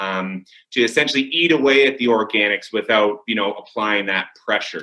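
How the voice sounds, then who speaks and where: Loud and bright with a sharp tone, a man talks at a fairly quick pace with ordinary pitch variation. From Windsor, Ontario, Canada. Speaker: window cleaning business owner. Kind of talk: interview. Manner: hesitant, many fillers.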